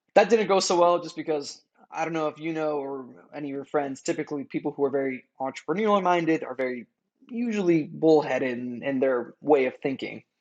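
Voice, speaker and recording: A man with a Californian accent at a fairly quick pace and fairly high pitch, with ordinary pitch variation and big swings in loudness. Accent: Californian American English. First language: Farsi. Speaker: entrepreneur. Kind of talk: podcast interview.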